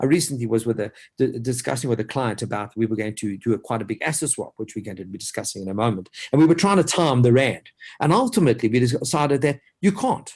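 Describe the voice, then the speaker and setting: Over a quiet background, a man of medium pitch talks at a very fast pace. His voice is somewhat breathy, with lively intonation. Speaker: financial advisor. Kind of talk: webinar presentation. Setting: online webinar. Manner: animated.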